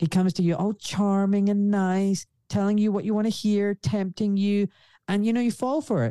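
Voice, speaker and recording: A dark, mellow tone holds very even loudness and fairly even intonation at a moderate pace, in a dry, close sound with no echo. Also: man, high pitch for a man. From Scotland, Glasgow. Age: 40s. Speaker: orthopaedic surgeon. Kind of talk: interview. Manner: blunt, direct.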